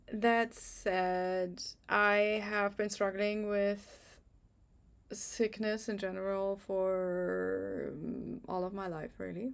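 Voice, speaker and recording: Speaking at a very slow pace with a German accent, a woman keeps a medium pitch and fairly even intonation. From Germany. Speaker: astrologer. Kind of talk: channel introduction to camera. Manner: halting, many fillers.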